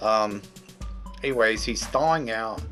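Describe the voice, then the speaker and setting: A man is speaking. Music plays in the background. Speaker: movie reviewer. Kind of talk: casual talk to camera.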